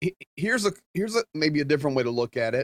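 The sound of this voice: A man talks fast with big pitch swings, his voice fairly high. The sound is dry and close, with no echo.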